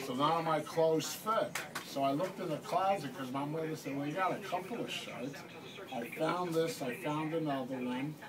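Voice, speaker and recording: At a fairly quick pace, a man with a fairly high pitch and ordinary pitch variation talks over noticeable background noise. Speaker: dining hall acquaintance of the grandmother. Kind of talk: casual conversation on camera.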